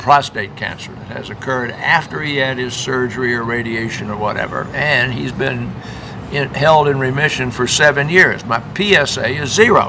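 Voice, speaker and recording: A man speaks at a moderate pace and medium pitch with ordinary pitch variation and big swings in loudness. Noticeable background noise and audible room echo fill the recording. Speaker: physician. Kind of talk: casual talk-show chat and medical Q&A.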